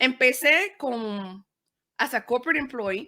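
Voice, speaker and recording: A woman with a Spanish accent and a bright, sharp tone, at a fairly slow pace with ordinary pitch variation, in a very clean recording with a silent background. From Panama. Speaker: podcaster and media producer. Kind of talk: interview, code-switching Spanish and English.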